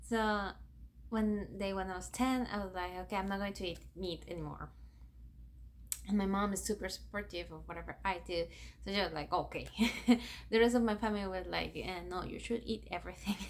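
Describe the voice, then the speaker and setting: With a Spanish accent, a woman talks at a fairly quick pace broken by long, frequent pauses. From Ecuador. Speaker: YouTuber. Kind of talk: personal vlog storytelling.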